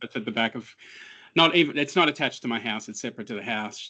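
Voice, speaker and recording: This man talks in an Australian accent with lively intonation. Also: quiet background. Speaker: cybersecurity analyst. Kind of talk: interview.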